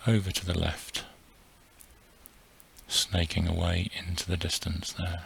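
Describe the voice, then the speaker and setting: A soft-spoken man with a very deep, low pitch, a gentle tone, monotone, flat intonation and a very slow pace. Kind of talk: soft-spoken ASMR flight narration. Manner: soft-spoken, gentle, relaxing.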